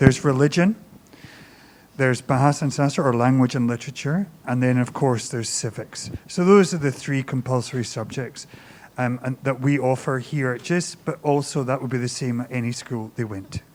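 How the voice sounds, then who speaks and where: A man with a Scottish accent, fairly quick in pace and ordinary in pitch variation. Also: medium pitch for a man. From Scotland. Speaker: high school teacher or administrator. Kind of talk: open house Q&A presentation.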